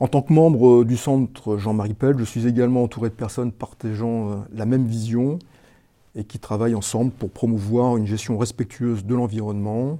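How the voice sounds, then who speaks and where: A man's medium-pitched, dark and mellow voice at a moderate pace, with fairly even intonation. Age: 60s. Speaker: village mayor. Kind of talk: prepared testimony. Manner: halting, with repeated words.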